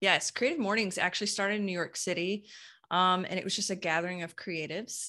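Bright and sharp in tone, a woman talks at a very fast pace and medium pitch on a very clean recording with a silent background. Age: 40s. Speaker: copywriter and brand messaging consultant. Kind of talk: casual interview chat. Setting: podcast recording. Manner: animated.

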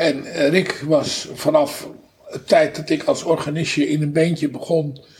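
A man's monotone, flat delivery against noticeable background noise. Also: fairly high pitch for a man. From North Holland, Netherlands (Haarlem). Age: 70s. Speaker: musician. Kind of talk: interview. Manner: halting.

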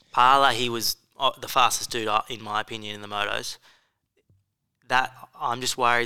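Against a silent background on a very clean recording, a bright, sharp voice with an Australian accent moves at a fairly quick pace in a monotone, flat intonation. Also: man. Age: 20s. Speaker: motocross podcast co-host. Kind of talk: casual chat.

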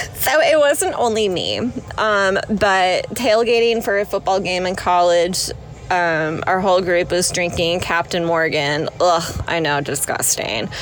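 Noticeable background noise sits behind a woman speaking at a fairly slow pace. Her medium-pitched voice carries lively intonation. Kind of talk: casual chat.

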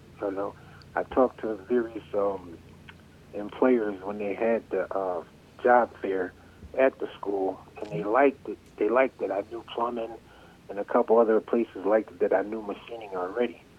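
There is noticeable background noise as a man with an American accent speaks at a moderate pace. His pitch is fairly low and his intonation fairly even. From Connecticut, US. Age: 50s. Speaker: trade school graduate, former machinist. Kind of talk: interview.

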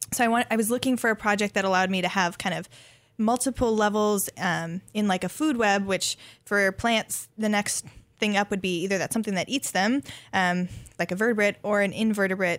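A woman with an American accent uses a normal speaking voice at medium pitch, with fairly even intonation and a fairly quick pace. The recording is very clean with a silent background, dry and close with no echo. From US Upper Midwest, central North Dakota. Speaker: graduate student researcher in botany. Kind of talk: radio interview. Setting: radio studio.

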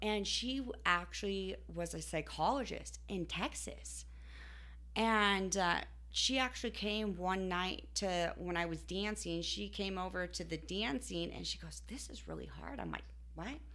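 There is audible room echo as a woman talks at a fairly slow pace. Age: 20s. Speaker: online adult content creator. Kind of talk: casual chat. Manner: laughs often.

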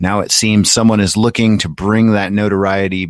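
A man with an ordinary speaking voice and fairly low pitch talks at a moderate pace. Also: dry, close sound with no echo. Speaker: podcast co-host. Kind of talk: casual banter, movie talk.

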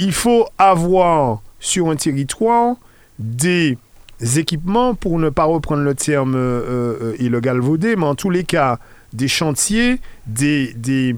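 This man speaks very slowly, his fairly high voice swinging very widely in pitch. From Martinique. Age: 50s. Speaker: local politician. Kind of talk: radio interview.

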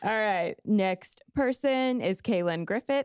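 Her voice has a medium pitch with ordinary pitch variation, and the woman is heard in a dry, close sound with no echo. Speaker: podcast co-host, church social media leader. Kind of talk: casual chat. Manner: laughs often, animated.

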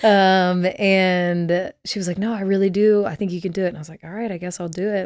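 A woman with an American accent and an ordinary speaking voice talks at a fairly quick pace with hardly any pauses. Her medium pitch holds fairly even intonation while her loudness swings widely. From Texas, Dallas. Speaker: worship leader. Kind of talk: casual interview.

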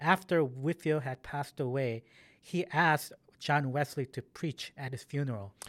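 A man with an ordinary speaking voice, fairly high in pitch with ordinary pitch variation, at a moderate pace, in a dry, close sound with no echo and a very clean recording with a silent background. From Korean-American community, US. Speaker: church history professor. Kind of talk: interview.

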